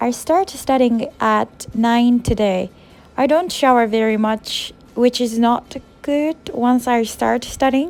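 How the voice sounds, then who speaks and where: Fairly slow, fairly high-pitched speech from a woman, with music playing behind. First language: Japanese. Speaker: university student and English teacher. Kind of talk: vlog narration.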